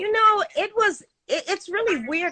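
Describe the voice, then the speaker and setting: Using a raised, projected voice, a woman speaks at a moderate pace. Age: 60s. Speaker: vegan chef and fitness expert. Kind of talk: interview.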